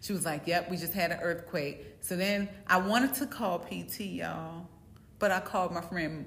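A normal speaking voice from a woman, fairly low in pitch with ordinary pitch variation, in an American accent at a moderate pace. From US East Coast. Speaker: co-host. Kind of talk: casual chat.

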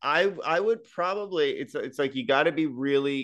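A quiet background and a man's voice at a moderate pace. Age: 30s. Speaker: stand-up comedian and actor. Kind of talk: casual chat. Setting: video call. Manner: animated.

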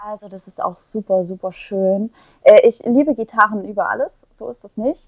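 With ordinary pitch variation, a woman's fairly high voice moves at a middling rate. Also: big swings in loudness. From Saxony, Ore Mountains (eastern Germany). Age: young. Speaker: poet. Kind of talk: casual interview. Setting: remote recording.

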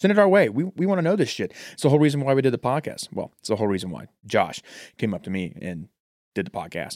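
Very fast speech comes from a man with a fairly high voice and very wide pitch swings. The sound is dry and close, with no echo. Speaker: podcast host. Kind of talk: casual banter, movie discussion. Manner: joking, profane, casual.

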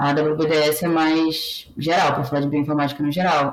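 Her pitch sits very deep and low. The voice is a woman's. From Brazil, Pará (Belém). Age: 20s. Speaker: biotechnologist working in bioinformatics. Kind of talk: casual interview.

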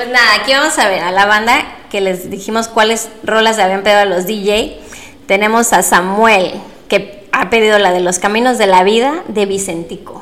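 A woman with a Mexican accent speaks at a medium pitch and moderate pace, her intonation fairly even. Audible room echo and noticeable background noise surround her voice. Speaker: podcast co-host. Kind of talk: casual chat.

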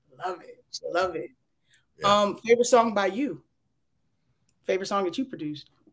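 Fairly quick delivery broken by long, frequent pauses. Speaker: interview show host. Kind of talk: live interview. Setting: studio. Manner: animated.

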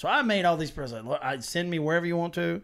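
Using a plain, everyday voice, a man talks with a fairly high pitch and lively intonation. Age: 40s. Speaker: podcast host, Army National Guard veteran. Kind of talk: casual chat. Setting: small home studio room.

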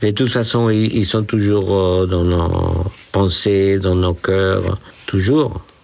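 A man with a Spanish accent speaks at a very slow pace in a fairly low pitch with fairly even intonation. Noticeable background noise is present. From Peru. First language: Spanish (speaking French). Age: 60s. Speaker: retired musician and accountant. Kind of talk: casual interview. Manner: halting.

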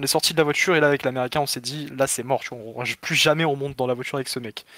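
In a dry, close sound with no echo, a man talks very fast at a fairly high pitch with fairly even intonation. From southern France, Perpignan. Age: 20s. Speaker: caller telling travel story. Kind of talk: casual storytelling.

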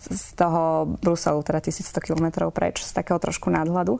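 A woman speaks at a fairly slow pace. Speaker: politician, member of the European Parliament. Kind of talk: political interview. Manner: hesitant, many fillers.

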